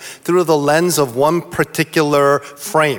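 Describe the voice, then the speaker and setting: A fairly high-pitched man with an American accent, over noticeable background noise. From US East Coast. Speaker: pastor. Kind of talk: panel discussion. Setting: stage with audience.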